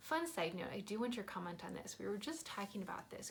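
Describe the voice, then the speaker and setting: With an American accent, a woman talks at a fairly quick pace in an animated tone, her pitch swinging very widely over noticeable background noise. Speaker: family travel vlogger. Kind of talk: casual vlog talk to camera. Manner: fast.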